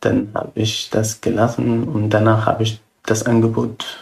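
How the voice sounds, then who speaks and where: Speaking in a calm tone with an Arabic accent, a man has a medium pitch and a somewhat breathy voice. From Syria. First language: Arabic (speaking German). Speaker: refugee. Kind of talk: interview. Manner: halting.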